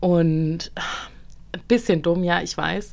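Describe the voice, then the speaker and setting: A very clean, silent-background recording with ordinary pitch variation. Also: woman. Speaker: podcast co-host. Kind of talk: casual chat.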